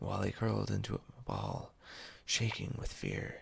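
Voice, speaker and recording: Whispering, soft-spoken delivery. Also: man. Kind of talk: storytelling narration of a children's-style animal tale. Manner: whispered, soft-spoken.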